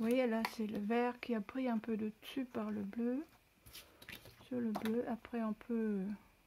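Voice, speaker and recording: A woman talks at a very slow pace in a fairly high pitch, with long, frequent pauses. Her intonation is flat and monotone. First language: not French (speaking French). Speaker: crafter. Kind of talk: tutorial. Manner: halting.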